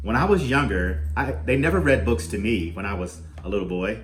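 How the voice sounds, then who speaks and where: In a room with audible echo and noticeable background noise, a man talks at a moderate pace. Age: 60s. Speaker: youth program arts teacher. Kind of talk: reading aloud to children. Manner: halting.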